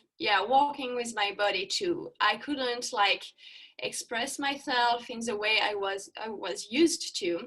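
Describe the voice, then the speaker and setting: A woman with a French accent speaks very slowly in a fairly high, bright, sharp voice with lively intonation. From France. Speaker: yoga instructor. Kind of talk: interview. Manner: halting.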